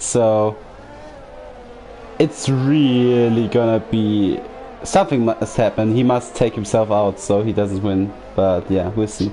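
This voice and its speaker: A fairly low-voiced man with a German accent, very slow and fairly even in intonation, with long, frequent pauses and music in the background. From Germany. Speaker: sim racing commentator. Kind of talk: live commentary.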